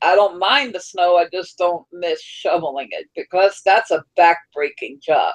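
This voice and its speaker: A woman's ordinary speaking voice at a medium pitch, fairly slow in pace with hardly any pauses and ordinary pitch variation. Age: 30s. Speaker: livestream host. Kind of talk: casual chat.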